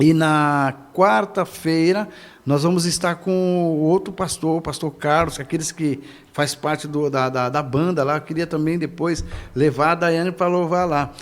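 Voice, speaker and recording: A man at a fairly high pitch, with a fairly slow pace and fairly even intonation. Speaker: pastor. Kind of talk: casual chat. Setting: church. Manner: halting.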